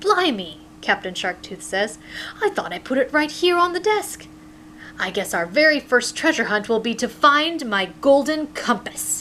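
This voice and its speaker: A female-sounding, put-on character voice speaks at a moderate pace with a high pitch and very wide pitch swings. Clear background noise is audible. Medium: read story. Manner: hearty, warm.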